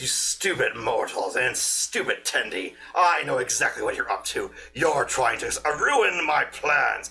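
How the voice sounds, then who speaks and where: Put-on character voice at a fairly slow pace, hardly any pauses, over light background noise. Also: man. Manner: evil, scornful.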